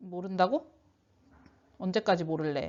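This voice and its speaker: A woman speaks at a fairly slow pace. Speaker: high school science teacher. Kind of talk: online lecture. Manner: casual, conversational.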